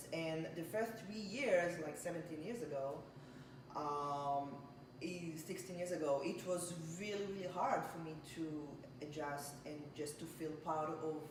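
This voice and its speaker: Amid noticeable background noise and audible room echo, a woman speaks in a fairly low voice with ordinary pitch variation. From Israel. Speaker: home baker. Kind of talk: casual interview. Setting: home kitchen. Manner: halting.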